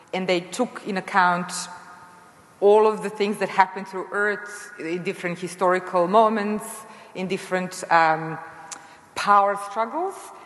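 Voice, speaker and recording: Noticeable background noise sits behind a woman's voice. She speaks fairly slowly at a medium pitch with fairly even intonation. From Serbia. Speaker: astrophysicist, panel moderator. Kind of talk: panel discussion.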